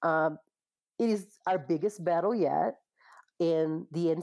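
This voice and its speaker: A woman speaks in a very deep, low voice with a dark, mellow tone and ordinary pitch variation. The recording is very clean, with a silent background. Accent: Portuguese. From Brazil. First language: Portuguese. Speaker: cannabis industry business development manager. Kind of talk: interview.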